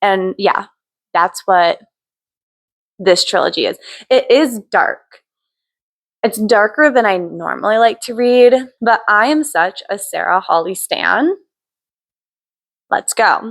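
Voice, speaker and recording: A woman speaks at a fairly high pitch with lively intonation. She goes very slowly, with long, frequent pauses. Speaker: book youtuber. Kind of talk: casual vlog chat. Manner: animated.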